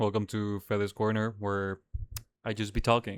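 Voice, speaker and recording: Over a silent background in a very clean recording, a man with a Spanish accent talks at a moderate pace. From Dominican Republic. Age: 20s. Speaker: podcast host. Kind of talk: casual monologue podcast. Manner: casual, hesitant with fillers.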